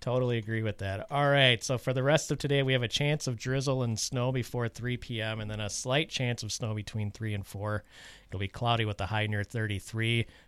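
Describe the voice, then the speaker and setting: A man talks at a fairly quick pace with hardly any pauses, in an unremarkable speaking voice. His pitch sits at a medium level and his intonation stays fairly even. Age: 40s. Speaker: community radio host. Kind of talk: radio announcements and weather reading; casual radio chat. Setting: radio studio.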